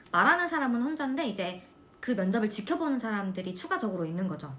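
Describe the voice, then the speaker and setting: A woman speaks in a fairly high pitch with very wide pitch swings and an animated tone. There is noticeable background noise. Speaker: nursing student vlogger. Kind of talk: casual chat.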